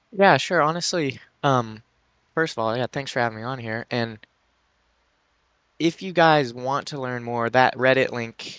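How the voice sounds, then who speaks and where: Fairly slow pace and ordinary pitch variation, on a very clean, dry, close recording with a silent background and no echo. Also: man. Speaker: futures trader. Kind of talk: casual chat.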